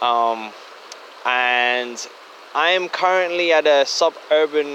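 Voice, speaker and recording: This man has a fairly high pitch and a German accent, with noticeable background noise behind him. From Germany. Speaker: listener. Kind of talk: voice memo. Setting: outdoors by a creek.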